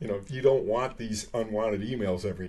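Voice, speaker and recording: A somewhat breathy voice talks at a very fast pace amid audible room echo. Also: man. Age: 60s. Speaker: comedian. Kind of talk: casual chat. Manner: animated.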